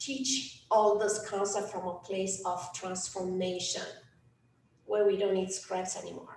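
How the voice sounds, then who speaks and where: A woman with a Romanian accent at medium pitch, fairly slow pace and fairly even intonation, amid audible room echo and noticeable background noise. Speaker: life coach. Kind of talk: workshop talk. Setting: event with audience. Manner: hesitant, many fillers.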